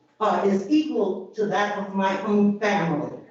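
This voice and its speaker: A woman's voice with audible room echo. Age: 80s+. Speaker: public commenter at county meeting. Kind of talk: public comment.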